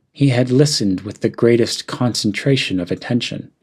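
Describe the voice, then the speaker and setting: This man has an American accent and a somewhat breathy, medium-pitched voice. His pace is moderate and his pitch variation ordinary. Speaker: English teacher. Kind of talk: read story. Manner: clear, natural pacing.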